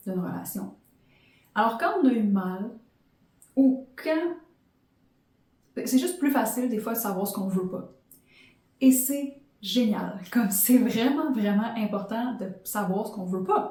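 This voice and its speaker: A woman speaks very slowly at a fairly high pitch, leaving long, frequent pauses. Her tone is dark and mellow, somewhat breathy, with lively intonation. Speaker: podcast host and life coach. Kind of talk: motivational podcast monologue.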